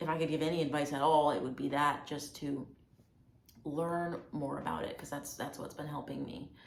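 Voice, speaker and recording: Through audible room echo, a woman with an American accent speaks at a very deep, low pitch with vocal fry and fairly even intonation. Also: moderate pace. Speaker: video blogger. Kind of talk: personal testimony vlog. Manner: casual, hesitant with fillers.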